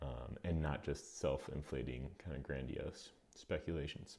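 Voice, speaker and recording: With ordinary pitch variation, a man speaks with vocal fry. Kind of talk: video essay commentary.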